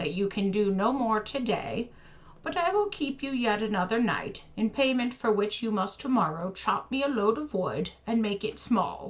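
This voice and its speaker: A female-sounding voice does a put-on character voice at a fairly high pitch. The pace is moderate, with light background noise. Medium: read story. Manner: sly, calculating.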